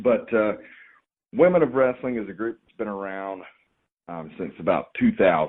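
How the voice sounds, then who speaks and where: A man speaks with a slight Southern US accent. His loudness swings widely, and he leaves long, frequent pauses. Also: moderate pace. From Georgia, US South. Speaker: professional wrestler and wrestling trainer. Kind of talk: podcast interview. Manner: relaxed, hesitant with fillers.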